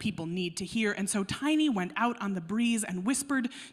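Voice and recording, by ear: Natural-voiced reading aloud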